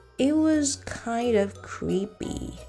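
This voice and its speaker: There's a woman talking. Background music can be heard. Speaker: storyteller. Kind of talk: scripted narration. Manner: whispered.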